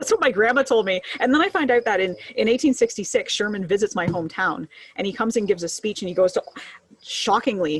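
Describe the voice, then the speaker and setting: Speaking at a fairly quick pace, a woman with a Canadian accent and a normal speaking voice uses lively intonation at a medium pitch. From Huron County, Ontario, Canada. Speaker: history podcast co-host. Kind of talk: casual chat. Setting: live video stream.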